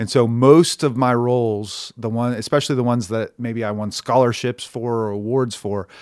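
An unremarkable speaking voice from a man with an American accent, at a moderate pace with ordinary pitch variation. His loudness swings widely, and the recording is very clean with a silent background. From Oklahoma. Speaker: barbershop owner and actor. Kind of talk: casual chat.

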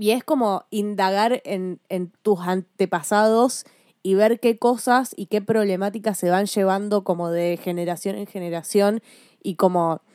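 A woman speaks at a fairly slow pace in a medium pitch, with a dark, mellow tone and ordinary pitch variation. The sound is dry and close with no echo, in a very clean recording with a silent background. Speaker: podcast co-host. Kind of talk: casual chat.

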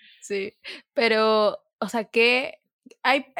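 A woman's fairly high, fairly evenly intoned voice in a very clean recording with a silent background and a dry, close sound without echo. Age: 20s. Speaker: podcast host. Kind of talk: casual chat.

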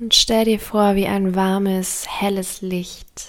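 The voice has a calm, gentle tone and moves at a very slow pace. Noticeable background noise sits behind it. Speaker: meditation guide. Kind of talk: guided meditation. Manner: slow, soft-spoken, soothing; calm, gentle, with long pauses.

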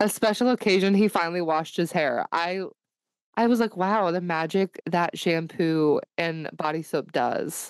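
A plain, everyday voice from a woman, fairly low in pitch, with ordinary pitch variation, very even loudness, a moderate pace and a dry, close sound with no echo. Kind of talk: casual chat.

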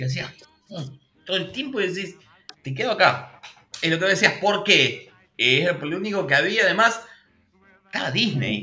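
Raising and projecting his voice, a man speaks at a high pitch and a moderate pace, with lively intonation and long, frequent pauses. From Argentina, Buenos Aires province interior near Bahía Blanca. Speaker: YouTube channel host, cartoon history specialist. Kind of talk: casual chat. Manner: animated.

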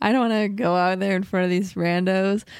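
At a fairly quick pace, a woman talks at a medium pitch in a normal speaking voice. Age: 20s. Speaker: podcast co-host, musician. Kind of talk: casual chat.

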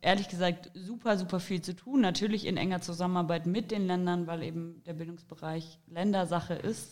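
There is an unremarkable speaking voice here, a woman at medium pitch with fairly even intonation, in a very clean recording with a silent background. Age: 20s. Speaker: political candidate. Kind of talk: interview.

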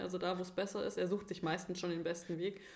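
Audible room echo surrounds a woman who speaks in a flat, monotone way. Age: 30s. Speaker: sled dog sports enthusiast. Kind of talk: casual chat. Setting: physio practice, remote podcast.

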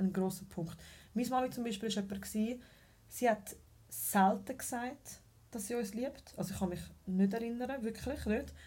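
Her voice has a dark, mellow tone and vocal fry, and the woman uses fairly even intonation with long, frequent pauses. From Switzerland, Zurich. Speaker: mother of two, party host. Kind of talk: casual chat.

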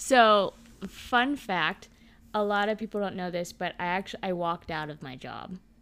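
Speaking at a moderate pace in an American accent, a woman with an unremarkable speaking voice keeps a medium pitch with ordinary pitch variation and big swings in loudness. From Texas, Dallas. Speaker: podcast co-host. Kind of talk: casual chat.

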